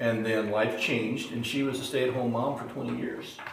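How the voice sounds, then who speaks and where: Over noticeable background noise and audible room echo, a man talks at a fairly quick pace in a flat, monotone way at medium pitch. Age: 60s. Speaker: study group participant. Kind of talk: group Bible study discussion.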